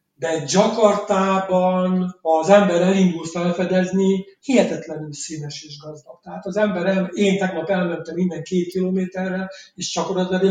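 Speaking at a high pitch and moderate pace, a man keeps a fairly even intonation and hardly any pauses while his loudness swings widely. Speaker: novelist. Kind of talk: interview. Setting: remote call from Jakarta.

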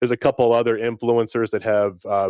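A man with an ordinary speaking voice talks at a fairly quick pace and medium pitch. The sound is dry and close with no echo. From US South, North Carolina. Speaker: low voltage technician and online community founder. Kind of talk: casual interview. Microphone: new camera and microphone setup.

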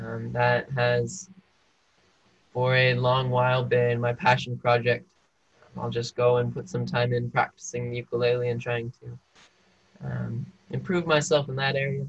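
At a moderate pace, a man with a medium pitch and a somewhat breathy voice speaks with fairly even intonation and long, frequent pauses. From Arizona, US. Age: 20s. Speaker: college student. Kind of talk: personal testimony interview. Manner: halting, with repeated words.

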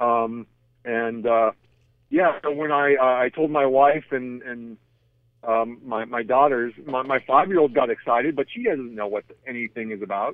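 Medium pitch, moderate pace and ordinary pitch variation in a man's a plain, everyday voice. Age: 30s. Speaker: retired pro wrestler. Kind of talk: interview.

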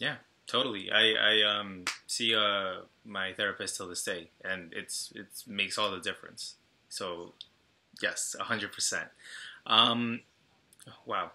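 A man with an American accent speaks very slowly, with long, frequent pauses. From Long Island, New York. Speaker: podcast host. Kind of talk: interview.

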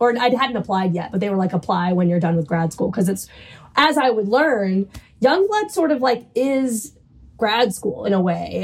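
With an American accent, a woman speaks at a moderate pace in a fairly high voice with lively intonation, and noticeable background noise is present. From US South, New Orleans. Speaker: playwright. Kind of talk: interview. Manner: animated.

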